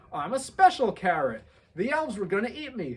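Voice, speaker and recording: In a put-on character voice, the speaker goes at a fairly quick pace with a fairly high pitch and very wide pitch swings. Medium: read story. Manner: cheeky, perky.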